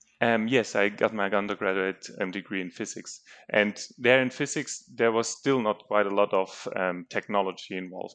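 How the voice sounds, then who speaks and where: Here a man with a German accent talks at a moderate pace. His pitch is fairly low, and the background is quiet. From Germany. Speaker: geophysics researcher. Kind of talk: casual interview.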